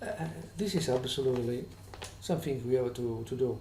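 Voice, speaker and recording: A man's dark, mellow tone at a moderate pace, with ordinary pitch variation and audible room echo. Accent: non-native. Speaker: vlogger with employment tribunal grievance. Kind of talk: complaint video monologue. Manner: halting, many fillers and restarts.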